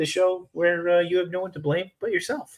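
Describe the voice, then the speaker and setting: A man speaks loudly at a high pitch and a fairly quick pace. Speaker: podcast host. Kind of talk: casual chat. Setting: hotel room. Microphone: mic very close to mouth.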